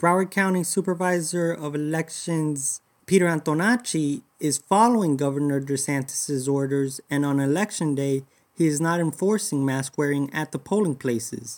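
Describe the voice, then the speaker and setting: A man's plain, everyday voice, fairly high in pitch, with ordinary pitch variation at a moderate pace, on a very clean recording with a silent background. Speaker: reporter. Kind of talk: formal newsreading. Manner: formal, measured, reporter-style.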